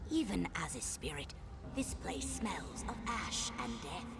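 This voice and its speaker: Whispering in a put-on character voice at a fairly slow pace, the speaker is heard over loud background noise. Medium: machinima. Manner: slow, solemn.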